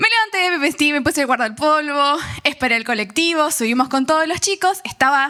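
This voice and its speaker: In an Argentine accent, a woman uses a raised, projected voice at a high pitch, with lively intonation and a moderate pace. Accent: Rioplatense Argentine Spanish. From Argentina, San Nicolás de los Arroyos (Buenos Aires province). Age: 30s. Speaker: youth speaker giving testimony. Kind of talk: testimony.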